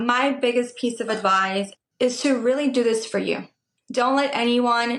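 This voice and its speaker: A woman speaks with a Spanish accent. Her intonation is fairly even. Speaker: medical tattoo artist. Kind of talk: podcast interview.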